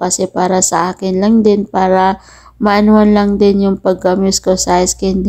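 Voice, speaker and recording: A woman talks at a moderate pace and a medium pitch. Her tone is dark and mellow, her intonation monotone and flat. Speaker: domestic worker vlogger. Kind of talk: voice-over vlog narration. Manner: halting.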